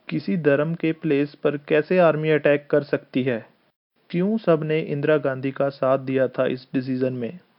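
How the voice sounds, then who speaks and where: A man with a Punjabi accent, fairly high pitch and fairly even intonation. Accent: Punjabi-accented Hindi. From Punjab, India. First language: Punjabi (speaking Hindi). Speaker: political commentator. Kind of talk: opinion monologue.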